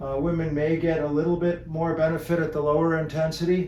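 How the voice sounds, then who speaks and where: Speech at a moderate pace comes through with audible room echo. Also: man. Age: 60s. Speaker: health educator. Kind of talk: educational talk. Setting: seated in a chair. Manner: relaxed.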